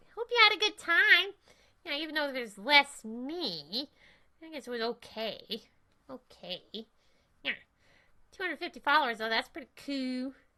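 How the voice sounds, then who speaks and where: Using a put-on character voice with a high pitch, a woman speaks in an energetic tone at a moderate pace, leaving long, frequent pauses. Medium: game stream. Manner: sassy, energetic, comic.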